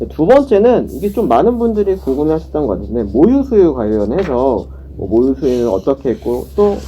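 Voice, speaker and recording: Talking at a fairly quick pace, a man is heard against noticeable background noise. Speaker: presenter at community mental health center. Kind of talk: online education session, Q&A.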